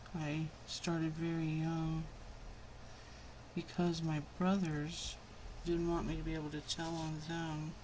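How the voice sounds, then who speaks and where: Soft-spoken and monotone with flat intonation, a woman with a very deep, low pitch talks at a fairly slow pace with long, frequent pauses, amid audible room echo and noticeable background noise. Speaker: crafting youtuber. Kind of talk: tutorial. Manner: casual.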